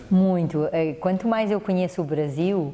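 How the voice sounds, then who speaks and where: Her pitch varies in an ordinary way. The woman speaks fairly low. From Portugal. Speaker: mediation specialist. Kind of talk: TV interview.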